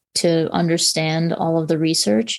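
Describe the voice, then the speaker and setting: This woman has a plain, everyday voice, fairly low in pitch, speaking at a moderate pace with an American accent. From New York. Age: 40s. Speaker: breast cancer survivor, speaker. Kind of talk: panel discussion.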